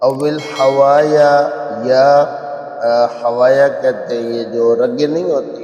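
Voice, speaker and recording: There is noticeable background noise as a man talks at a fairly high pitch. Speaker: Quran reciter and teacher. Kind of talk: religious lecture explaining verses. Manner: conversational.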